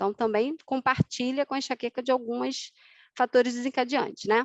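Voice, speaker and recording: A woman is heard against a quiet background, with a dry, close sound and no echo. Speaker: osteopathy lecturer. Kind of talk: online lecture. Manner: fast.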